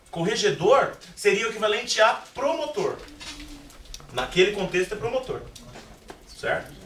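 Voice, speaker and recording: A man with a high-pitched voice and an animated tone speaks at a moderate pace with ordinary pitch variation and long, frequent pauses, amid audible room echo and noticeable background noise. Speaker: literature teacher. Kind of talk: classroom lecture. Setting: classroom.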